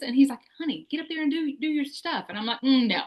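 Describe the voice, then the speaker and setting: Talking at a very fast pace, a woman speaks with a Southern US accent. Her voice is high-pitched, with lively intonation. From US South, Tennessee/Alabama. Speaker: podcast host. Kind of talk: casual interview chat.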